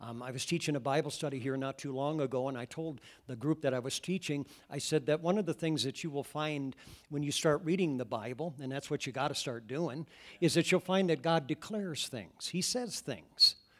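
A man's fairly high voice at a fairly quick pace, with ordinary pitch variation, on a very clean recording with a silent background. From US Midwest, Iowa. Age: 60s. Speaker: pastor. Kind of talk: sermon. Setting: church. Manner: animated.

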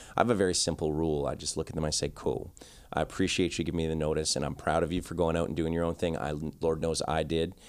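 With a Canadian accent, a man talks very fast in a very deep, low pitch and a monotone, flat intonation. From Canada, Victoria. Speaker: podcast host, barber. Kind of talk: casual interview chat. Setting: on location at a trade show venue.

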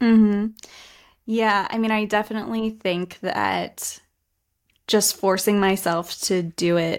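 A woman with an American accent at medium pitch, very slow with long, frequent pauses and fairly even intonation, on a very clean recording with a silent background. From US, West Virginia. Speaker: design studio founder. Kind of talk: casual interview chat.

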